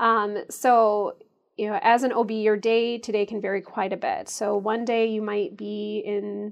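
This is a woman speaking. She has a Midwestern American accent. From US Midwest, Chicago suburbs. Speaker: obstetrician gynecologist. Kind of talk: interview. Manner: frequent filler ums.

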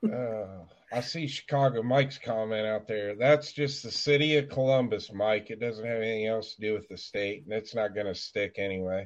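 A man with a normal speaking voice talks at a moderate pace with hardly any pauses. His pitch is medium, with ordinary variation. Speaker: panelist. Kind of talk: casual panel chat.

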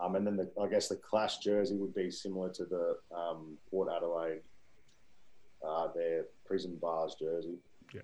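A man with an Australian accent, very deep and low in pitch, dark and mellow in tone, at a moderate pace with fairly even intonation and long, frequent pauses. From Victoria, Australia. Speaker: amateur football club founder. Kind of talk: casual interview.

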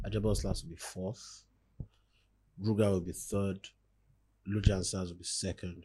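A man speaks at a moderate pace with long, frequent pauses and big swings in loudness. His very deep, low voice is somewhat breathy, with a dark, mellow tone. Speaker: podcast co-host. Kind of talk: casual banter podcast chat.

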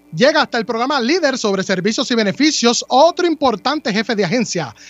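A man talks in a high pitch with lively intonation. Background noise is noticeable. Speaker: radio host. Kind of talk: radio talk show.

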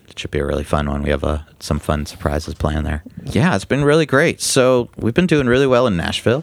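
A man's fairly low voice, fairly quick and with hardly any pauses, very wide pitch swings, and noticeable background noise. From New York. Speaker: music booking agent. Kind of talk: casual interview.

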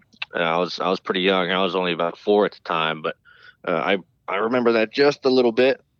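With an American accent, a man talks at a very fast pace in a very deep, low pitch. His loudness swings widely. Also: ordinary pitch variation. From North Carolina (High Point). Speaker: race car driver. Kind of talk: interview.

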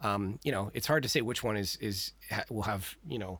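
Recorded very cleanly against a silent background, a man with a normal speaking voice talks fairly quickly, with a fairly low pitch and ordinary pitch variation. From Texas. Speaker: podcast researcher and history enthusiast. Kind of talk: casual chat.

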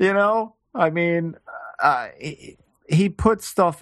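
A man's voice with an American accent and a high pitch. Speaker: podcast co-host. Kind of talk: casual chat.

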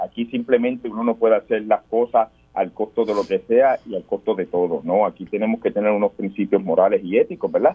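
Speaking at a fairly quick pace with hardly any pauses, a man has an ordinary speaking voice and lively intonation. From Puerto Rico, Guánica. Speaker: political candidate, military veteran. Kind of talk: radio interview.

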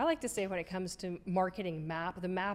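A woman speaks at a medium pitch. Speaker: marketing podcast co-host. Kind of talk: casual educational chat.

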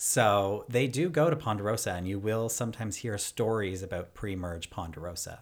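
In a very clean recording with a silent background, a man with a plain, everyday voice talks with hardly any pauses and ordinary pitch variation. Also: fairly low pitch for a man, moderate pace. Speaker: podcast host. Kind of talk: casual podcast chat.

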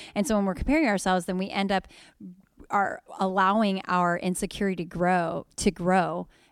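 In a very clean recording with a silent background and a dry, close sound with no echo, a woman with a normal speaking voice talks at a moderate pace, her medium pitch carrying fairly even intonation. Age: 30s. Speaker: podcast co-host and pastor. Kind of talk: casual chat.

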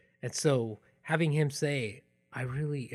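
His voice comes through somewhat breathy. The background is silent on this very clean recording. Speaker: podcast host. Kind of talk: personal storytelling, narrated podcast episode. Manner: reflective, personal.

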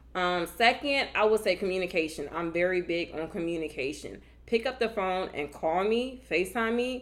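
Speaking in an American accent, a woman has an animated tone and lively intonation. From Virginia. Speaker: podcast co-host, Air Force member. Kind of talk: casual chat.

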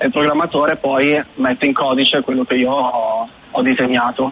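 Against noticeable background noise, a man with a fairly high pitch speaks at a very slow pace and fairly even intonation. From northern Italy, Milan. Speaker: web designer. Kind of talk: radio interview.

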